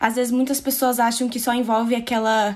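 A woman's fairly high voice at a fairly quick pace. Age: 20s. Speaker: survivor sharing her story. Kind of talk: testimony. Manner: calm.

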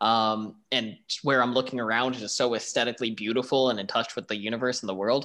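A man talks very fast in an American accent. The recording is very clean, with a silent background. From Buffalo, New York. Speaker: podcast co-host. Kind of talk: casual chat.

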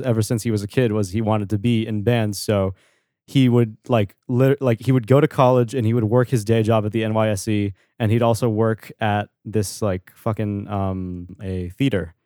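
A man's medium-pitched voice in an American accent, dark and mellow in tone, at a moderate pace with ordinary pitch variation, dry and close with no echo, on a very clean recording with a silent background. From New York, Long Island. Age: 20s. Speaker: indie pop musician. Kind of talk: casual chat.

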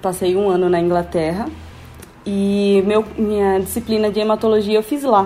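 A woman speaks at a moderate pace and medium pitch, with fairly even intonation, very even loudness, and a normal speaking voice. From Brazil, Natal, Rio Grande do Norte. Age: 20s. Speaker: biomedical scientist. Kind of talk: interview.

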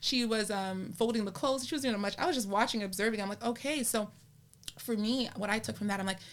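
A woman with a medium-pitched voice speaks in an animated tone, her pitch varying in an ordinary way. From Canada. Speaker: podcast host. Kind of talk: casual interview.

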